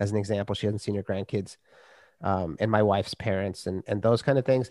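Captured dry and close with no echo in a very clean recording with a silent background, a man with an American accent speaks at a fairly low pitch with fairly even intonation in an ordinary speaking voice. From US Midwest, Minnesota. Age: 50s. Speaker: author and podcaster. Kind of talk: casual chat.

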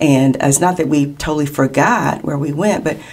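Speaking with a Kentucky accent, a woman uses a very deep, low pitch, a moderate pace and fairly even intonation. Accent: Kentucky American. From Lexington, Kentucky. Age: 50s. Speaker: sports hall of fame co-founder. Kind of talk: interview.

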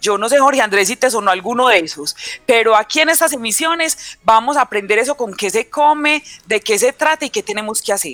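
Recorded with a dry, close sound and no echo, a woman talks at a fairly quick pace. Her fairly high voice has lively intonation. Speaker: teacher. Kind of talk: radio lesson.

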